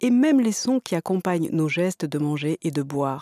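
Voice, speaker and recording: Speaking at a fairly slow pace, a woman with a fairly low pitch and a dark, mellow tone uses lively intonation in a calm, soothing tone. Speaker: meditation teacher. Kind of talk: guided meditation program introduction, instructional. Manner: calm, slow and measured; formal, soothing, didactic.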